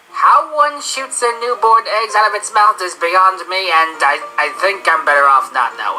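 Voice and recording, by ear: A female-sounding, cartoonish character voice comes through with clear background noise behind it. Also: medium pitch for a woman, moderate pace.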